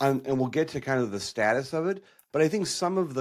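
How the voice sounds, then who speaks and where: An unremarkable speaking voice from a man, fairly quick and with lively intonation, on a very clean recording with a silent background. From Minnesota. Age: 50s. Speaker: podcast host. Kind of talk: interview.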